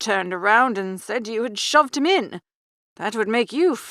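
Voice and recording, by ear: Against a quiet background, a natural voice reads aloud with lively intonation.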